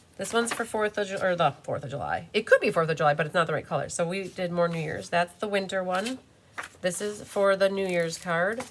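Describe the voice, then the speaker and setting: A woman at medium pitch, with ordinary pitch variation and a fairly quick pace. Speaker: card-making demonstrator. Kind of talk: live craft tutorial. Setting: YouTube live stream. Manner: animated.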